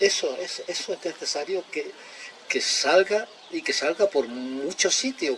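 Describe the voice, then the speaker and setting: With noticeable background noise behind him, a man's intonation moves in a lively way. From Extremadura, Spain. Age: 70s. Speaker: speaker on ecology and collapse. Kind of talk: public talk.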